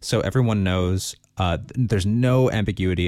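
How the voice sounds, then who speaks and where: A man with an American accent. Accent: American, noticed by locals. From Los Angeles area, US. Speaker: podcast co-host. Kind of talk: casual chat. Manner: halting, many fillers.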